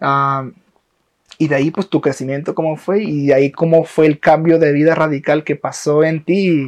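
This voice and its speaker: In a quiet background, a man with a plain, everyday voice speaks at a moderate pace and fairly high pitch, his intonation fairly even and the sound dry and close with no echo. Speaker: podcast host. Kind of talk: casual chat. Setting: in a home.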